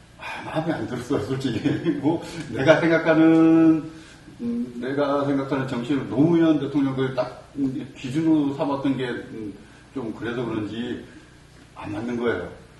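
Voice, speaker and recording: A man at a medium pitch and moderate pace, with ordinary pitch variation, audible room echo and noticeable background noise. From Gyeongsang region, Korea. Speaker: political party member. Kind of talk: casual political discussion.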